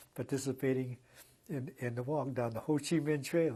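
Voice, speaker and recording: A man with an American accent has a dark, mellow tone that is somewhat breathy, with fairly even intonation. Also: quiet background. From Los Angeles, California. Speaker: civil rights activist. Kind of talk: oral history interview answer. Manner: hesitant, conversational.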